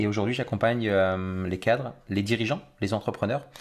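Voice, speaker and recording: A man speaks at a moderate pace in a fairly low pitch with ordinary pitch variation. It is an ordinary speaking voice in a very clean recording with a silent background. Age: 40s. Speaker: mindset trainer. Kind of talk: interview.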